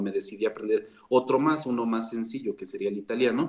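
The man has an unremarkable speaking voice at a medium pitch. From Mexico. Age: 20s. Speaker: language coach. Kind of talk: interview.

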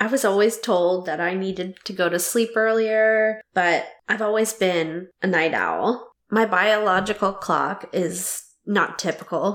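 This woman has an ordinary speaking voice. She speaks at a medium pitch and a fairly slow pace. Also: fairly even intonation. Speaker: podcast host. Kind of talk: casual interview chat.

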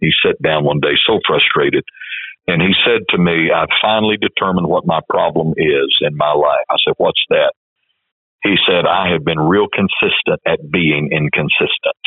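This man talks at a moderate pace. He has an American accent. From West Texas. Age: 60s. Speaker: church denomination leader. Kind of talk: interview.

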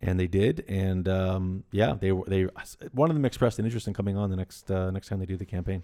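With a very deep, low pitch and a dark, mellow tone, a man speaks very fast using ordinary pitch variation. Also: very clean recording, silent background. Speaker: barter company executive. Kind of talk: casual chat.

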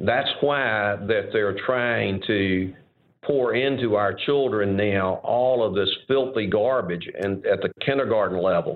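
This man speaks at a very slow pace and a medium pitch. His pitch varies in an ordinary way, and his loudness stays very even. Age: 70s. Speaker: seminary president and former judge. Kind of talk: casual interview.

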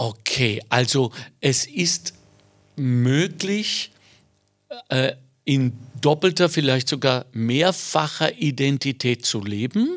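Speaking very slowly with long, frequent pauses, a man in a fairly high voice keeps his loudness very even while his intonation stays lively. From Germany. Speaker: podcast host. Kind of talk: interview.

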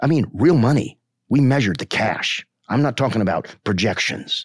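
A man speaks at a fairly slow pace with vocal fry and very wide pitch swings. The recording is very clean with a silent background, dry and close with no echo. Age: 50s. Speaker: marketing researcher and teacher. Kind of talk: podcast discussion. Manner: earnest, reflective.

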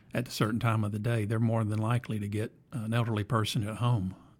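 In a very clean recording with a silent background, a man talks very fast in a fairly low, somewhat breathy voice with fairly even intonation. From Alabama, US South. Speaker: podcast host, IT executive. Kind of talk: casual interview chat. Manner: halting, many fillers and repeats.

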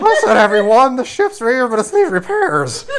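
In a put-on character voice, the speaker sounds excited at a fairly high pitch and a moderate pace, with clear background noise. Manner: excited, announcing.

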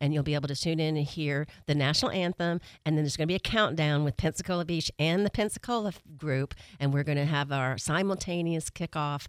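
Very fast and very even in loudness, a woman's very deep, low voice comes through a dry, close sound with no echo in a very clean recording with a silent background. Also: ordinary pitch variation. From Atlanta, Georgia. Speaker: chamber of commerce president. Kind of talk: casual radio interview. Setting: radio studio. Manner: fast talker.

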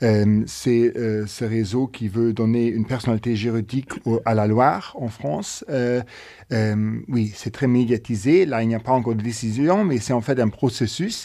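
Against a quiet background, a man speaks at a medium pitch with a dark, mellow tone. He keeps a fairly slow pace and ordinary pitch variation. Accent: Luxembourgish. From Luxembourg, mining basin in the south. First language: Luxembourgish (speaking French). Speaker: podcast host. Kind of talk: interview conversation.

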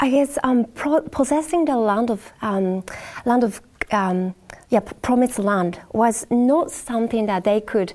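A woman is talking. Her voice sits fairly high. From Japan. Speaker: Bible study panelist. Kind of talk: Bible study panel discussion. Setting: studio. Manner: hesitant, many fillers.

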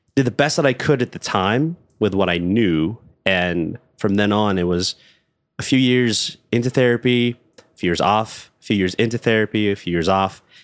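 At a moderate pace with ordinary pitch variation, the voice comes through a very clean recording with a silent background and a dry, close sound with no echo. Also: man, fairly low pitch for a man. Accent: American. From Los Angeles, California. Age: 30s. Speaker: actor and voiceover artist. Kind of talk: casual chat. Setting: in-person in a living room.

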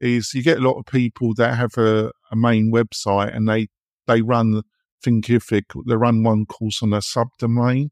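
A man with an English accent speaks at a moderate pace in a medium pitch, his intonation monotone and flat. The sound is dry and close with no echo, over a quiet background. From England. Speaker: podcast host. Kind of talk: casual interview.

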